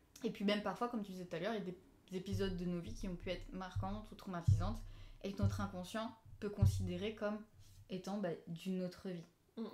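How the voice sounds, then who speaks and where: A medium-pitched woman speaks very fast with fairly even intonation, broken by long, frequent pauses. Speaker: hypnosis practitioner. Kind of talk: casual live talk to camera.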